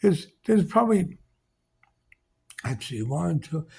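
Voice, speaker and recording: Lively intonation carries a New York accent in a very clean recording with a silent background. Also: man. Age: 80s+. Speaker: vlogger. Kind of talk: casual monologue. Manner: blunt, opinionated rant.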